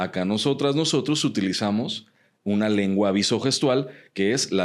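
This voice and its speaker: Speaking at a fairly slow pace with a Mexican accent, a man uses ordinary pitch variation. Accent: Mexican Spanish (Jalisco). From Guadalajara, Mexico. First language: Mexican Sign Language (speaking Spanish). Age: 30s. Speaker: human rights researcher and activist. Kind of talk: podcast interview.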